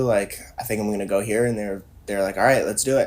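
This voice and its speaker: Fairly low in pitch, this man speaks with an American accent. His intonation is fairly even. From US Midwest, Minnesota. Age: 20s. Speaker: professional scuba diver and traveler. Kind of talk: casual chat.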